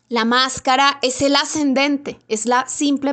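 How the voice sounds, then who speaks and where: The woman speaks in a high pitch. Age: 30s. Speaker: astrologer. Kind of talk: monologue video talk on astrology.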